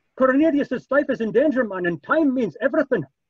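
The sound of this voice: In a put-on character voice at an extremely high pitch, a man talks at a fairly quick pace with lively intonation and a slightly husky edge, in a dry, close sound with no echo.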